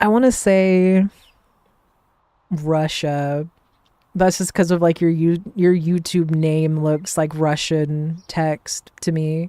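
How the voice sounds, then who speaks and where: Fairly low in pitch, a woman with an American accent speaks at a very slow pace in a dark, mellow tone, with fairly even intonation and long, frequent pauses. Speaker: streamer. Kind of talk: casual chat. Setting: live stream. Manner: monotone.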